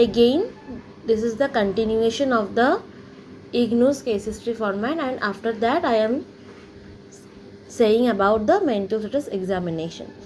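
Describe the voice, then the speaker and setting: A woman's fairly high-pitched voice with ordinary pitch variation, long, frequent pauses, and noticeable background noise. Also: moderate pace. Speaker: psychology teacher. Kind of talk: lecture. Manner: halting with fillers.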